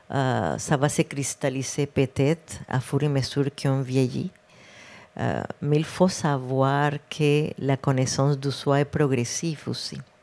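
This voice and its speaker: In a Spanish accent, a woman speaks very slowly with a very deep, low pitch and a dark, mellow tone, her intonation fairly even, on a very clean recording with a silent background. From Colombia, Cartagena. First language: Spanish (speaking French). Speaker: public health director, physician. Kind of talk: interview. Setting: live podcast with audience.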